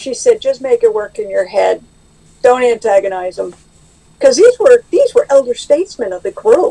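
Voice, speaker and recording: A woman at a moderate pace with big swings in loudness, in a dry, close sound with no echo. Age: 60s. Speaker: AA member sharing recovery. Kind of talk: testimony. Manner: halting.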